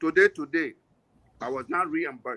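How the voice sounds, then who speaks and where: A man speaks in a raised, projected voice with a bright, sharp tone and lively intonation. His pace is moderate, and the sound is dry and close with no echo. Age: 70s. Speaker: national board member of an association. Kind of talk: panel discussion.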